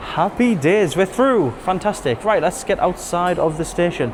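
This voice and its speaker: A man speaks with an English accent and lively intonation. Noticeable background noise runs behind him. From England. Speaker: travel vlogger. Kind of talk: travel vlog. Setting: on a subway train. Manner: soft-spoken.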